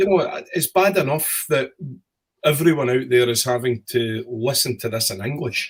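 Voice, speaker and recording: The voice is somewhat breathy with lively intonation. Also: man, medium pitch for a man. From Scotland, West Coast (Glasgow area). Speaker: whisky distillery representative. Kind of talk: online tasting talk. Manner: slowed, clear enunciation.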